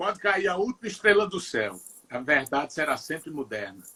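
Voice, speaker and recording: A man is speaking. His pitch swings very widely. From Northeast Brazil, Ceará (Juazeiro do Norte). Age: 60s. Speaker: singer-songwriter. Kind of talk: interview. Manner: halting, many repetitions.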